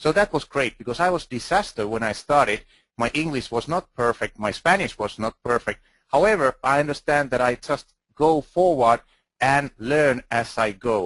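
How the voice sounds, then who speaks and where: Lively intonation marks a medium-pitched man speaking with a Finnish accent. His moderate pace comes through in a dry, close sound with no echo. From Finland. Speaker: video marketing expert speaker. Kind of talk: conference talk. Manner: halting.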